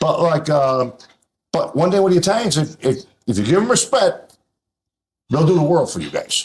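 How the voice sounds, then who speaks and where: A man talks at a moderate pace, stopping for long, frequent pauses. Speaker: restaurant owner. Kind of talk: casual chat. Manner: loud; animated.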